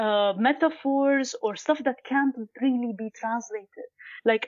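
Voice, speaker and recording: A woman's high pitch at a fairly slow pace. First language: not Arabic (Arabic learned later). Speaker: guest researching podcast language. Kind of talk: conversational interview.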